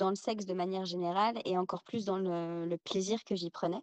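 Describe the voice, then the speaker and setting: The sound is dry and close, with no echo. The speech runs at a moderate pace with fairly even intonation. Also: woman. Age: 30s. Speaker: guest sharing personal testimony. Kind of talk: testimony.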